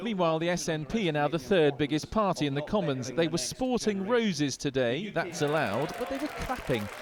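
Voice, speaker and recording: Against noticeable background noise, a man with a fairly high pitch speaks at a fairly quick pace with lively intonation and hardly any pauses. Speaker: news reporter. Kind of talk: TV news report voiceover.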